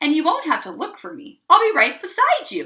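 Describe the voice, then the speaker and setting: A squeaky put-on character voice from a woman, extremely high in pitch, at a fairly quick pace. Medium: read story. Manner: chirpy, upbeat.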